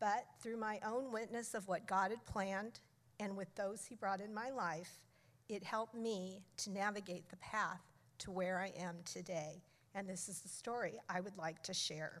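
In an ordinary speaking voice, a woman of medium pitch talks at a moderate pace with fairly even intonation. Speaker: church member. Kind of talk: testimony. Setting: stage with audience.

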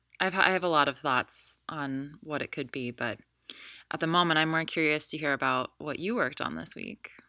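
At a moderate pace, a woman speaks with a very deep, low pitch, ordinary pitch variation and a bright, sharp tone, in a very clean recording with a silent background. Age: 30s. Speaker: podcast co-host and yoga studio owner. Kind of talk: casual chat.

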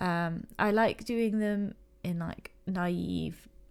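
In a quiet, mumbling voice with an English accent, a woman speaks at medium pitch on a very clean recording with a silent background. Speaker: illustrator and podcast host. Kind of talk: casual solo chat. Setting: home recording, late at night.

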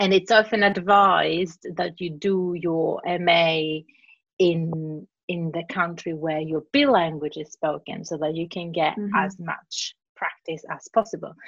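A woman with a Greek accent speaks at a fairly slow pace in a fairly low pitch, her pitch varying in an ordinary way. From Cyprus and Greece. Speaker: translator and interpreter. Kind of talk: casual interview. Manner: animated.

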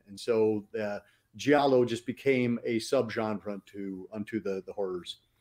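Dry, close sound with no echo, a man with a normal speaking voice at medium pitch, moderate pace, fairly even intonation, and big swings in loudness. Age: 50s. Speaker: horror film critic and author. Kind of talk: casual chat. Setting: live stream.

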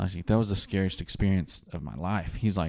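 This man has a dark, mellow tone and a fairly low pitch. He speaks with a West Texas accent. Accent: West Texas drawl. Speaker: oilfield worker and instrumentation technician. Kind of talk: casual chat.

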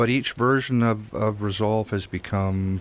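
A man speaks at a very slow pace in a fairly low pitch, with music playing in the background. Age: old. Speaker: film instructor and colorist, radio guest. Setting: radio studio.

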